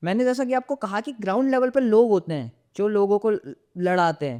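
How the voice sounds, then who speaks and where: A man speaks high in pitch with a dark, mellow tone. The sound is dry and close, with no echo. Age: 20s. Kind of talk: interview answer.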